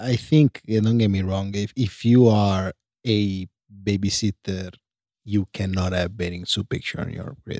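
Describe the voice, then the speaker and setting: A man with an Italian accent speaks at a fairly slow pace and a fairly low pitch. His intonation is fairly even, and the sound is dry and close with no echo. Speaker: host's partner giving advice. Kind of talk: casual chat. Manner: halting.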